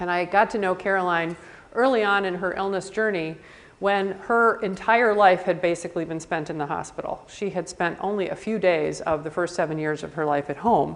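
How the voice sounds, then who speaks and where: A woman's fairly quick speech in an American accent, at medium pitch with ordinary pitch variation. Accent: sounds more East Coast than Midwest. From US Midwest. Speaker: palliative care physician. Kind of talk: conference talk. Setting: conference session with live audience. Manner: fast.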